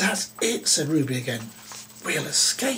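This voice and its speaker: Clear background noise sits behind a man doing a put-on, growling character voice at a fairly high pitch. He speaks at a fairly slow pace, and his pitch swings very widely. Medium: read story. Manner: spirited, feisty.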